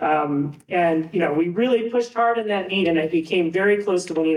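A man's high-pitched voice with an American accent, ordinary pitch variation and a moderate pace. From Buffalo, US. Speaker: physics professor, former diver. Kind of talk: induction speech.

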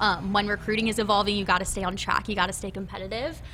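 There is vocal fry in this bright, sharp voice with a Midwestern American accent and fairly even intonation. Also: woman. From Nebraska. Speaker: college football recruiting staffer. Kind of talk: casual interview. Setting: studio.

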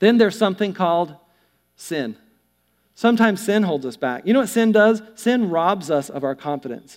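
A high-pitched man with a Southern US accent, lively intonation and a moderate pace. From US South, North Carolina. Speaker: pastor. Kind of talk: sermon. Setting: church. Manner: animated.

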